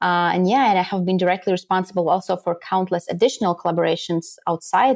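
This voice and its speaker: Captured on a very clean recording with a silent background, a woman talks at a medium pitch and a moderate pace. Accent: slight Latvian. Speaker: podcast guesting strategist. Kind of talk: interview.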